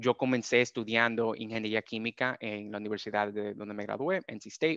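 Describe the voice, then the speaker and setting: A man talks at a fairly quick pace, with a dry sound, no echo, and a quiet background. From Dominican Republic. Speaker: data scientist. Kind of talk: webinar presentation. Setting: video call. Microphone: video call.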